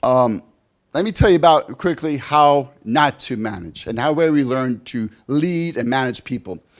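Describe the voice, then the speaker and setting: Recorded very cleanly against a silent background, a man with a New York accent speaks at a medium pitch with lively intonation. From New York City. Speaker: conference speaker, practice owner. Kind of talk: conference talk with personal stories. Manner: animated.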